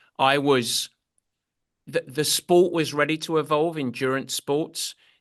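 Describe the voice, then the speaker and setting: Here a man with an English accent talks at a very slow pace in a fairly high voice. The intonation is fairly even, and the sound is dry and close with no echo. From England. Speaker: endurance sports coach. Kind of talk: podcast interview.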